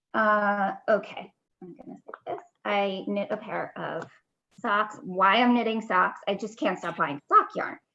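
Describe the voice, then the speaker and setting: A woman speaks in a medium pitch with a bright, sharp tone and ordinary pitch variation. Her pace is fairly slow, and her loudness swings widely. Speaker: knitting podcast co-host. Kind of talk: casual chat.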